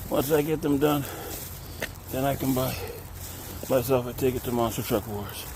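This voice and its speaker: A man's medium-pitched voice at a moderate pace with fairly even intonation, long, frequent pauses and noticeable background noise. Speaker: vlogger. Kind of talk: casual vlog narration. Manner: casual.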